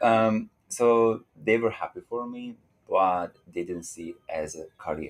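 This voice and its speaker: Speaking at a fairly slow pace, a man with a medium pitch uses lively intonation and big swings in loudness. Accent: Hungarian. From Hungary. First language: Hungarian. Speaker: dancer. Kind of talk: interview.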